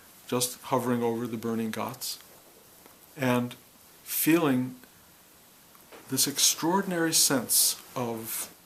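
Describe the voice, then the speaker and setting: With an American accent, a man speaks very slowly at a medium pitch, leaving long, frequent pauses amid noticeable background noise. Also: ordinary pitch variation. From US Midwest, Detroit, Michigan. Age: 70s. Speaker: spiritual teacher. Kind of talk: talk on spiritual experience. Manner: reflective, with some hesitations.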